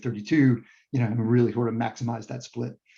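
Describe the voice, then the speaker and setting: This man's medium-pitched voice has a dark, mellow tone, a somewhat breathy quality, and monotone, flat intonation. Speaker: EV owner and guest speaker on towing. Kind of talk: Q&A after a club meeting talk. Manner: fast; halting, many fillers and restarts.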